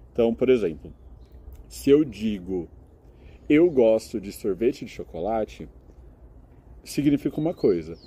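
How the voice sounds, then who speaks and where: With vocal fry and long, frequent pauses, a man speaks at a medium pitch and a fairly slow pace. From Brazil, São Carlos (São Paulo state). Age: 20s. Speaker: master's student and English teacher. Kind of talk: interview. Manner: explanatory, with frequent filler hesitations.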